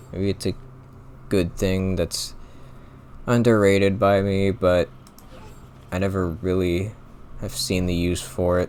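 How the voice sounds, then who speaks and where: A man talks at a fairly slow pace with long, frequent pauses. His very deep, low voice stays monotone and flat. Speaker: gaming commentator. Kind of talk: gameplay commentary. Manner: casual, filler-heavy.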